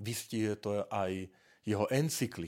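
A man talks at a very slow pace in a fairly low pitch, on a very clean recording with a silent background. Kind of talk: monologue podcast talk on church topics.

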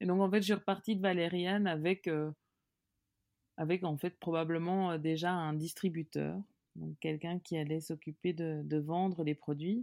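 This woman has a fairly low pitch and a dark, mellow tone, heard as a dry, close sound with no echo on a very clean recording with a silent background. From Belgium, Hainaut and Brussels. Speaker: biscuit company founder. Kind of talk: interview. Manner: hesitant, many fillers.

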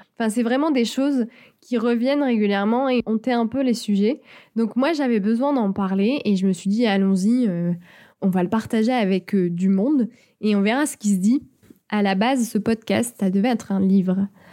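Over a very clean, silent background, a woman with a fairly high pitch and a dark, mellow tone talks at a moderate pace, with very even loudness and ordinary pitch variation. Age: 20s. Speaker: podcaster. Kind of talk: solo podcast monologue. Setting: home studio.

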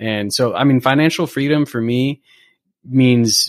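Here a man speaks at a medium pitch. His pitch variation is ordinary. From US West Coast (Southern California). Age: 30s. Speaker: structural engineer. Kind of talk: casual chat.

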